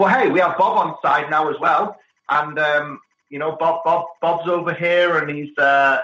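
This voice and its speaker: A man with a British accent speaks at a moderate pace in a high, bright, sharp voice with ordinary pitch variation. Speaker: technology executive. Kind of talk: podcast interview. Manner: halting.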